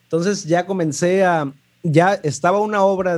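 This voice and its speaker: This is a man talking. He speaks with a Mexican accent. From Mexico, Puerto Vallarta. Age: 20s. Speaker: lighting designer. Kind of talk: interview. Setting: remote call.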